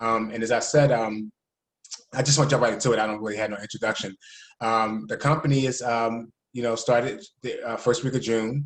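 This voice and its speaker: Speaking fairly quickly in a Philadelphia accent, a man keeps his medium pitch fairly even. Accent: Philadelphia American English. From Philadelphia, US. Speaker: network marketing leader. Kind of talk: casual presentation on video call. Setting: video call. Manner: fast.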